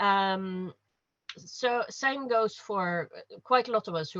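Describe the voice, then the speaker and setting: Ordinary pitch variation in a dry, close sound with no echo, with a Norwegian accent. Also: woman. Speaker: panelist. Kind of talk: panel discussion. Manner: halting.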